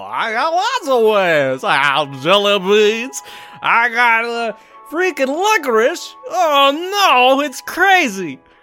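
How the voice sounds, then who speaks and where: A female-sounding, put-on character voice speaks at a fairly slow pace and high pitch with very wide pitch swings, while faint music plays in the background. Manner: cartoonish, exaggerated.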